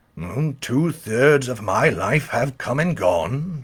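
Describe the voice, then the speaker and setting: In a raspy, put-on character voice, a man speaks at a very slow pace with very wide pitch swings. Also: medium pitch for a man. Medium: read story.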